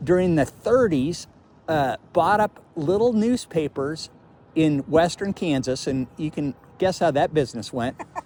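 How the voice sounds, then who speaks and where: At a fairly slow pace, a man with an American accent and a fairly high pitch speaks with lively intonation. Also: long, frequent pauses. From Colorado. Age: 60s. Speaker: traveling video blogger. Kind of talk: casual chat. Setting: outdoors.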